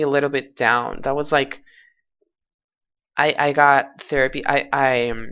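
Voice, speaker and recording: A fairly slow delivery in a Portuguese accent. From Portugal. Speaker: vlogger. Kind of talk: personal testimony. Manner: halting.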